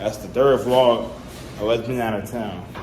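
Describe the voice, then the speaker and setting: Against music in the background and audible room echo, a man speaks at a very slow pace. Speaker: family vlogger. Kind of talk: casual vlog talk.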